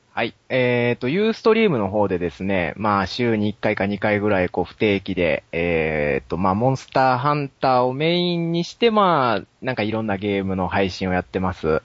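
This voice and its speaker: Using a normal speaking voice, a man with a fairly low pitch talks at a fairly quick pace with lively intonation and hardly any pauses. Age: 20s. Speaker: game streamer. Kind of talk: casual chat.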